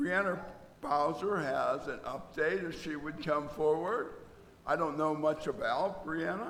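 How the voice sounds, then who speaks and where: Speaking at a fairly slow pace, a man has a fairly high pitch and ordinary pitch variation, with audible room echo and noticeable background noise. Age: 80s+. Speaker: church service leader. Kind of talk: church announcements and prayer. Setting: church.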